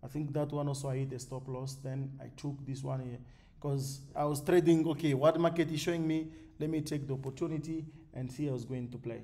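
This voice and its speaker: Audible room echo surrounds a man's fairly high voice. He talks at a fairly quick pace with fairly even intonation. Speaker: forex trading educator. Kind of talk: tutorial. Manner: fast.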